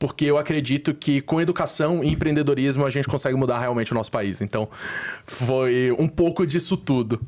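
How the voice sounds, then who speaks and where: This man speaks with a Recife accent at a fairly high pitch and a fairly quick pace, with ordinary pitch variation and very even loudness. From Brazil, Recife (Northeast). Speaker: startup founder. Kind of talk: interview podcast. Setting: studio.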